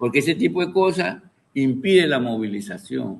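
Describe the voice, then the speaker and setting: With vocal fry and lively intonation, a man speaks at a fairly slow pace. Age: 70s. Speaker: university professor, political analyst.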